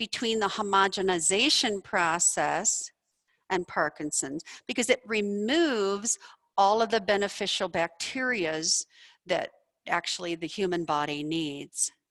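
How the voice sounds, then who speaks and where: The tone is bright, sharp and passionate, with lively intonation. The sound is dry and close, with no echo. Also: woman. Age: 60s. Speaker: doctor and researcher presenting a study. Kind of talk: lecture. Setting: presentation room with audience, also streamed online.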